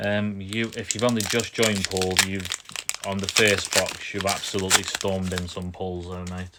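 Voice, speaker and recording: Noticeable background noise sits behind a man with a British accent and fairly low pitch. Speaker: pokemon card opening streamer. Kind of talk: live stream chat. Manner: monotone.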